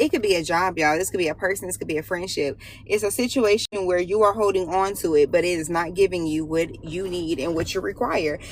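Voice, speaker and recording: Over noticeable background noise, a woman of medium pitch speaks at a very fast pace with ordinary pitch variation. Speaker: tarot reader and spiritual livestreamer. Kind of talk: casual livestream tarot reading. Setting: livestream.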